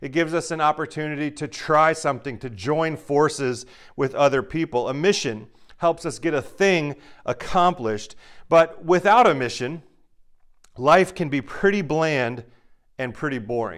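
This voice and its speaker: This man has a fairly high-pitched voice with ordinary pitch variation. He speaks at a moderate pace over a quiet background. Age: 40s. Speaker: pastor. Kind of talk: sermon. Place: home room.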